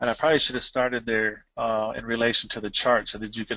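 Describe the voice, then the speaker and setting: Monotone and flat, the speech runs at a fairly quick pace. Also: man. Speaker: foreclosure defense presenter. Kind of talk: lecture. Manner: fast; halting, with many repetitions.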